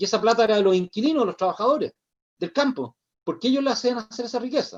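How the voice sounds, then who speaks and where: A man's high-pitched voice with a Chilean accent, lively intonation, and a very fast pace. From Chile, Santiago. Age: 60s. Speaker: social activist. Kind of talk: interview conversation.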